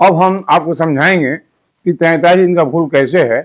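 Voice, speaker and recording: High-pitched male speech, its pitch varying in an ordinary way. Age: 80s+. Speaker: independent calendar researcher. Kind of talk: explanatory monologue. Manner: halting, with self-corrections; emphatic, challenging.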